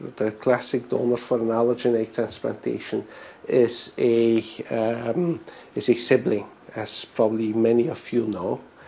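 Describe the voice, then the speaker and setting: A man's dark, mellow voice at medium pitch, with fairly even intonation and a moderate pace. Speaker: physician. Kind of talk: lecture. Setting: presentation to an audience. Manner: halting, many fillers.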